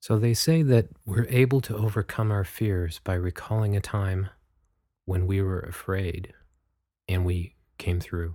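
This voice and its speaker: A man with a fairly low pitch and a dark, mellow tone speaks in a gentle, calm tone, somewhat breathy and at a fairly slow pace, with ordinary pitch variation. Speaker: meditation guide podcast host. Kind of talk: guided meditation. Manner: slow, soft-spoken, calm and soothing with long pauses; gentle, measured, instructive.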